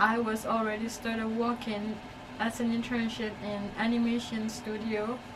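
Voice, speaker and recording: There is audible room echo and noticeable background noise around a woman speaking at a fairly high pitch. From Myanmar. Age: 20s. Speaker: artist. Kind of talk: personal vlog. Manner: halting.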